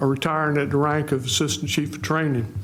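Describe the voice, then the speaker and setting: With a coastal North Carolina accent, a man speaks amid noticeable background noise and audible room echo. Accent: Southern US (coastal North Carolina). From US South, North Carolina. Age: 70s. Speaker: retired firefighter, mayoral candidate. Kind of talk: candidate forum opening statement.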